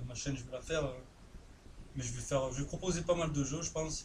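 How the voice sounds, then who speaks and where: A man talks fairly quickly with a southern French accent, his pitch fairly high and his intonation fairly even. The room echo is audible. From southern France. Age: 20s. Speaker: gaming youtuber. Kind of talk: live gameplay commentary. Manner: casual, hesitant with many fillers.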